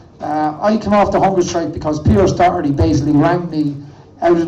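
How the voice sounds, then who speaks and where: A man with an Irish accent talks at a fairly quick pace, his pitch fairly high and his intonation fairly even. Noticeable background noise and audible room echo fill the recording. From Ireland. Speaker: protest activist. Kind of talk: protest speech.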